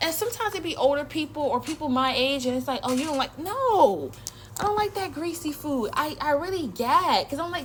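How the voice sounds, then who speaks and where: Animated and with lively intonation, a woman talks at a fairly quick pace over noticeable background noise. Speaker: social media creator. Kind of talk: casual rant to camera. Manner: fast.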